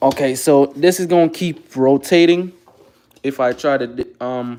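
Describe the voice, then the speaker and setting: The dark, mellow voice moves at a moderate pace with ordinary pitch variation. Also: man, fairly high pitch for a man. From Jamaica. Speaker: car rebuilder, livestreamer. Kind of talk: casual livestream tutorial while working on a car. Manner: halting, repeats words.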